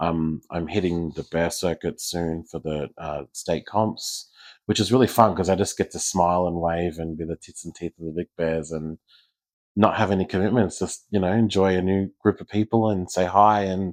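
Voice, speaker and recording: This man's voice sits very deep and low, his intonation fairly even, on a very clean recording against a silent background. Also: moderate pace. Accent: Australian. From Australia, Geelong. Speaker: community leader, pageant titleholder. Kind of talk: casual interview chat. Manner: hesitant fillers (um, uh).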